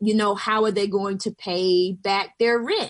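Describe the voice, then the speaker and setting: A woman speaks in an unremarkable speaking voice with an American accent, at medium pitch and a moderate pace. Her intonation is fairly even, and the background is quiet. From US South, southwest Georgia. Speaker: pastor and organizer. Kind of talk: radio panel discussion.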